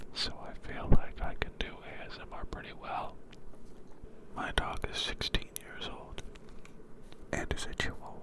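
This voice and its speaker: Whispered words come at a fairly slow pace, broken by long, frequent pauses, with noticeable background noise underneath. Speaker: ASMR creator. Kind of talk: whispered ASMR ramble.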